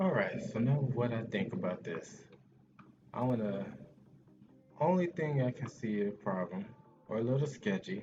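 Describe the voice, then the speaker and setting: Delivered at a moderate pace with very wide pitch swings and long, frequent pauses, the speech sits over noticeable background noise. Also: man, medium pitch for a man. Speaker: video game player. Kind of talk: casual talk to camera.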